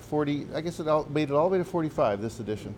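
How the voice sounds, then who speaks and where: A man has a normal speaking voice, fairly high in pitch. He talks at a fairly quick pace. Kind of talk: casual chat. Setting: cafe with audience.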